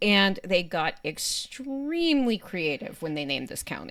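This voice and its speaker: The recording is very clean, with a silent background. The voice swings very widely in pitch and carries a Pittsburgh accent. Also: woman. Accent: Pittsburghese. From Western Pennsylvania. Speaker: podcast co-host. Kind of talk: casual chat.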